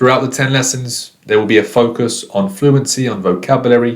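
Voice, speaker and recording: Speaking with a British accent, a man uses a medium pitch and fairly even intonation. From Britain. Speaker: English teacher. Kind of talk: online lesson. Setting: recorded course video.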